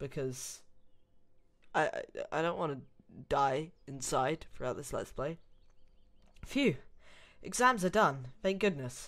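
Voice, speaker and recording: With a British accent, the speaker goes at a very slow pace, leaving long, frequent pauses. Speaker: Let's Play gamer reading a story aloud. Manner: exasperated.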